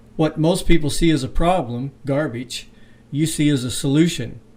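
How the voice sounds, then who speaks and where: A man with a normal speaking voice, fairly high in pitch, talks at a moderate pace with ordinary pitch variation. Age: 60s. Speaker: interviewer. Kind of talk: interview.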